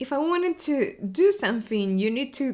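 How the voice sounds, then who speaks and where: A woman with an Argentine accent at a fairly slow pace, in a very clean recording with a silent background. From Argentina, Buenos Aires. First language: Spanish. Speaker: web developer advocate, podcast host. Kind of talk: casual video podcast monologue. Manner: many fillers and hesitations.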